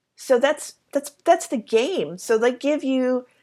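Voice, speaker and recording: In a very clean recording with a silent background, a woman speaks very slowly at a high pitch with ordinary pitch variation. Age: 50s. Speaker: energy healer and podcast host. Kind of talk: solo monologue about spiritual beliefs. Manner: halting, with many fillers and laughs.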